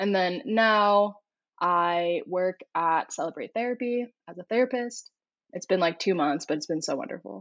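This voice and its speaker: At a moderate pace, a woman speaks in an ordinary speaking voice, medium in pitch, with lively intonation. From California, US (Corona). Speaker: therapist. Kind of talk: interview.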